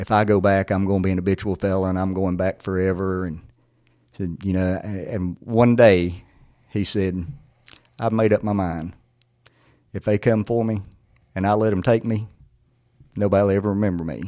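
A man with a North Carolina accent speaks in a dark, mellow tone at a fairly low pitch. His pace is fairly quick, his intonation fairly even, and he takes long, frequent pauses. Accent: Southern US (North Carolina). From North Carolina, Surry County. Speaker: former sheriff, parole commissioner. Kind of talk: interview storytelling.

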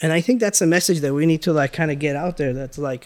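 Talking at a very fast pace, a man speaks in a fairly high pitch. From Los Angeles, Iranian-born. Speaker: business owner, food distributor. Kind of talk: interview.

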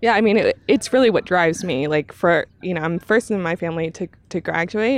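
With a plain, everyday voice, a woman talks at a fairly quick pace and medium pitch with lively intonation, the sound dry and close with no echo. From Texas. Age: 30s. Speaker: climbing community organizer. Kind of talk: casual chat.

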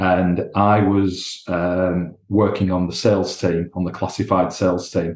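A man talks in a Lancashire accent. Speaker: commercial director. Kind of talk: interview.

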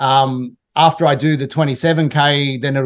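Over a quiet background, a man with an Australian accent and a fairly high pitch talks fairly quickly in a monotone, flat delivery. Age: 50s. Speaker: TV producer and entrepreneur. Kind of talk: podcast interview.

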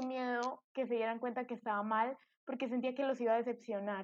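The woman's voice sits high in pitch. She keeps a moderate pace. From Colombia. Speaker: podcast guest sharing eating disorder story. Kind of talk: testimony.

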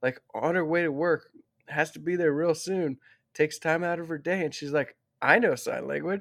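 A man's fairly high voice at a moderate pace with ordinary pitch variation, dry and close with no echo, on a very clean recording with a silent background. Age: 30s. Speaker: author and former wildland firefighter on a cross-country bike trip. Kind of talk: casual interview.

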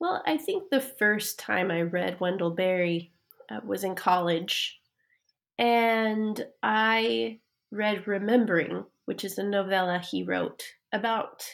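A woman with an American accent speaks at a very slow pace and a medium pitch. The recording is very clean and the background silent. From Idaho, US. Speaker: author. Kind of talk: interview.

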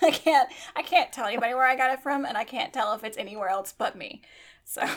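A woman with an American accent at a very fast pace, high in pitch, with an animated tone and lively intonation. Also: big swings in loudness. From US South. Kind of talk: casual chat.

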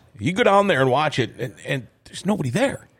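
A man speaks with an Upper Midwest accent. His pace is fairly quick and his pitch swings very widely. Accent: Upper Midwest (Minnesota). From Minnesota. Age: 50s. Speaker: podcast host, former radio host. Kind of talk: casual chat. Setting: studio.

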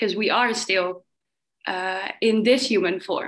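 Her intonation fairly even, a woman speaks in a normal speaking voice at a fairly high pitch. She keeps a moderate pace. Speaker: workshop participant. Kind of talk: sharing in group discussion.

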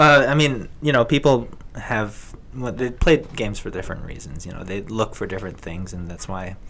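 A man speaks at a moderate pace in a plain, everyday voice with a medium pitch, his loudness swinging widely. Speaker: video game enthusiast. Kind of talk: casual chat.

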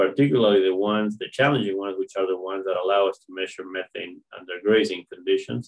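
Fairly low male voice at a fairly quick pace, ordinary pitch variation and hardly any pauses. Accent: Spanish. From Argentina. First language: Spanish. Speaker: animal science professor. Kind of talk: interview. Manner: halting, with frequent fillers.

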